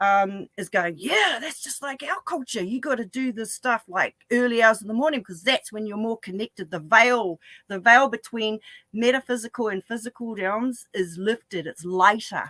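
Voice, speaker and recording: A woman with a fairly high pitch and a bright, sharp tone speaks at a moderate pace in an animated way, with ordinary pitch variation, big swings in loudness and a dry, close sound with no echo. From New Zealand, Northland. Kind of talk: interview conversation.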